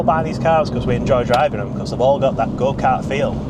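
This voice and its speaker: A man with a Barnsley accent, with audible room echo and noticeable background noise. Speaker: car dealer. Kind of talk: casual vlog chat. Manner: unscripted, off the cuff.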